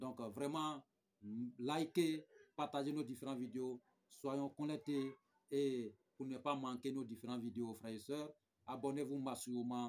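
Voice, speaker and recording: A fairly slow pace with ordinary pitch variation and long, frequent pauses. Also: man. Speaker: spiritual guide. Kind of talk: spiritual advice talk with promotion. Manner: soft-spoken.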